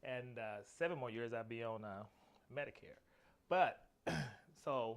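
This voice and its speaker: At a fairly slow pace, a man speaks in an American accent with medium pitch and ordinary pitch variation. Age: 50s. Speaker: interviewee. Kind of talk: interview. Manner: halting.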